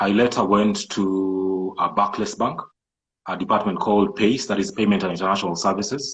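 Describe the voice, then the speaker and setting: A man with a Kenyan coastal accent speaks at a moderate pace. His pitch sits fairly low and his intonation stays fairly even. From Kenya coast, Malindi. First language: Swahili. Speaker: entrepreneur and IT programmer. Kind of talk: interview. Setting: live social media video call.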